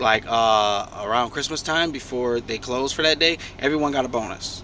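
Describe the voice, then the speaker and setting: Here a man has an ordinary speaking voice at medium pitch, with ordinary pitch variation. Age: 30s. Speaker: truck driver sharing life story. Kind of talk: casual storytelling vlog.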